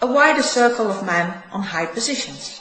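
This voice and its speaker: Fairly high-pitched woman with a Dutch accent, lively intonation and a moderate pace, plus audible room echo and noticeable background noise. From Netherlands. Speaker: spiritual teacher. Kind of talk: reading aloud.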